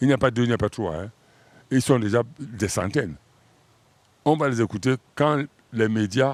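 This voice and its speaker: Recorded very cleanly over a silent background, a man speaks at a moderate pace and medium pitch with ordinary pitch variation, leaving long, frequent pauses. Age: 60s. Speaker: singer. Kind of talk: interview. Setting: studio.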